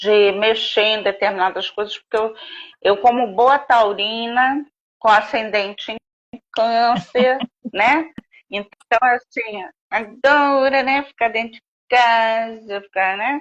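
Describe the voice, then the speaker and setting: A woman speaks at a very slow pace with a fairly high pitch. Her intonation stays fairly even while her loudness swings widely. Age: 60s. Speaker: author. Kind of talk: interview.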